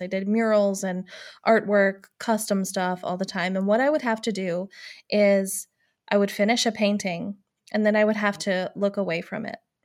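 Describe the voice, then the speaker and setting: A woman speaks at a medium pitch and a moderate pace in an ordinary speaking voice. Her intonation is fairly even, and the recording is very clean with a silent background. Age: 30s. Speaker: podcast co-host, former art business owner. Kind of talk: casual chat.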